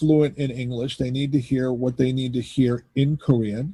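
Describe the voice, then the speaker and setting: A man with an American accent, somewhat breathy, dark and mellow, at medium pitch and a fairly slow pace. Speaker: pastor. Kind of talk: casual chat.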